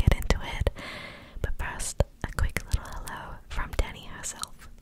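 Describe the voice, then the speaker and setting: A soft-spoken woman's whisper at a fairly slow pace over loud background noise. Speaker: ASMR creator. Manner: soft close-mic ASMR whisper. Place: home room. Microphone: studio mic.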